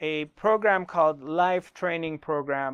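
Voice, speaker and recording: At a fairly slow pace, a man with a high pitch talks against a quiet background. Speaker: spiritual teacher. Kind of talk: workshop talk to online audience. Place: studio. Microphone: lapel.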